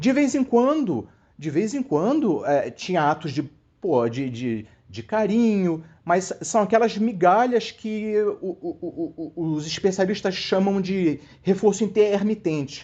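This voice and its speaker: Very slowly, a man speaks at a high pitch with very wide pitch swings. His tone is dark and mellow. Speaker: viewer sharing a personal story. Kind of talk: personal testimony. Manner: halting, many repetitions.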